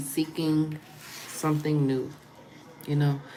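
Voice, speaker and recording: With an American accent, the speaker goes at a fairly slow pace amid audible room echo and noticeable background noise. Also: woman. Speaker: spiritual channeler and tarot reader. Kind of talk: livestream chat with viewers.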